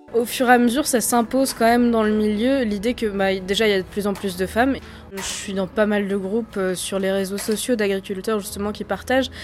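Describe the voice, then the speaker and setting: Noticeable background noise sits behind a woman speaking at a fairly quick pace and fairly high pitch with fairly even intonation. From France, Lower Normandy (near Falaise). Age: 20s. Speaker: political science student. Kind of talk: interview.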